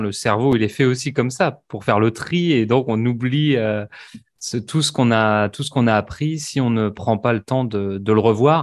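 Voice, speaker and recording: There's a man with an ordinary speaking voice, medium in pitch and with ordinary pitch variation. He goes at a moderate pace over a quiet background. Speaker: language teacher. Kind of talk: interview questions, casual conversation.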